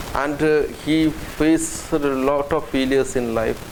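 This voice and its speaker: A man with fairly even intonation amid noticeable background noise. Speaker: police officer and motivational speaker. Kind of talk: motivational speech. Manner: earnest, hesitant, repeats words.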